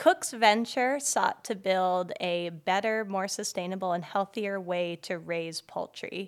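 A woman with an ordinary speaking voice talks fairly slowly at medium pitch with ordinary pitch variation and hardly any pauses, on a very clean recording with a silent background. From Boulder, Colorado. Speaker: podcast host. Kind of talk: casual chat; scripted read. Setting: bookstore, in person.

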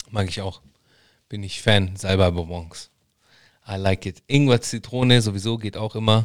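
A man with a fairly low pitch speaks at a moderate pace, with big swings in loudness and long, frequent pauses. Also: fairly even intonation. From Germany, Italian background. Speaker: podcast host. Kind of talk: casual chat. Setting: live stream.

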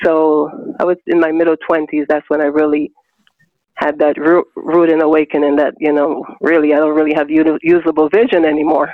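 Speaking at a fairly quick pace, a woman with a very deep, low pitch keeps a monotone, flat intonation and very even loudness. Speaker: blind interviewee. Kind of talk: interview, personal story. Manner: melodic, peaceful.

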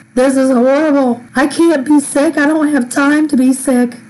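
A woman's high-pitched voice at a fairly slow pace, with noticeable background noise. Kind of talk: devotional monologue.

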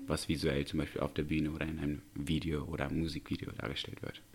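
A man is speaking at a fairly quick pace. His voice carries vocal fry. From Uzbekistan, Tashkent. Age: 20s. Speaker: professional dancer. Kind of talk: casual interview.

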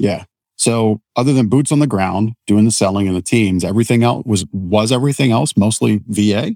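A man with an unremarkable speaking voice, fairly low pitch, ordinary pitch variation, moderate pace and very even loudness, in a dry, close sound with no echo. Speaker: podcast host. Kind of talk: interview conversation.

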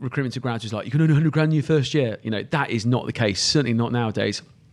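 A man with a southern English accent speaks with ordinary pitch variation. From England, Cotswolds. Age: 30s. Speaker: recruitment agency founder. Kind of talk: podcast interview.

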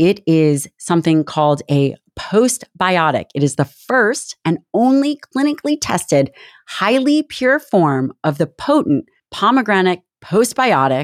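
Recorded dry and close with no echo, a woman speaks at a medium pitch and a fairly slow pace. Her pitch swings very widely while her loudness stays very even. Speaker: podcast host and doctor. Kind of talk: interview, casual chat with ad reads.

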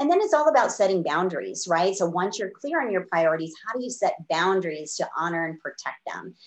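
A woman with an unremarkable speaking voice and a medium pitch talks at a fairly quick pace with lively intonation and hardly any pauses. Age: 50s. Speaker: business coach. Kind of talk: interview.

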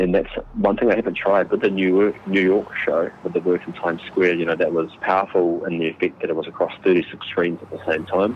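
A man with a New Zealand accent talks at a fairly quick pace, with hardly any pauses. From New Zealand, Māori. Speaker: Māori artist and designer. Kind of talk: interview.

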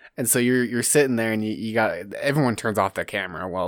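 On a very clean recording with a silent background, a man speaks very fast with ordinary pitch variation. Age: 20s. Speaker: podcast host. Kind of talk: casual chat.

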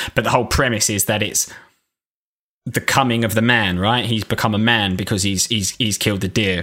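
At a fairly quick pace, a man with an unremarkable speaking voice talks in a fairly low pitch with fairly even intonation. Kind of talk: casual banter between friends, podcast. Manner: joking, laughs a lot.

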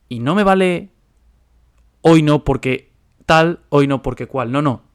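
A man talks very slowly, his fairly high voice rising and falling with ordinary pitch variation. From Spain. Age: 20s. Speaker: podcast host and finance investor. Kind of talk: solo monologue podcast.

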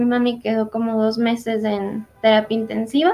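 A woman speaks at a fairly slow pace in an ordinary speaking voice with a fairly high pitch. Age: 20s. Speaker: graphic design graduate. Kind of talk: testimony.

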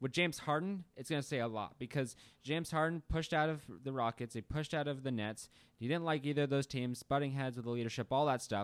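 On a very clean recording with a silent background, a man with a fairly high pitch rattles along at a very fast pace with ordinary pitch variation. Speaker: sports podcast co-host. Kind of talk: casual sports chat. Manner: fast talker.

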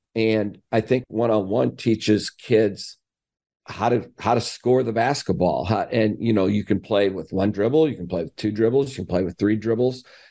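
Against a quiet background, a man speaks at a fairly low pitch with ordinary variation and a dark, mellow tone. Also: moderate pace. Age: 60s. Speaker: college basketball coach. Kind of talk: interview.

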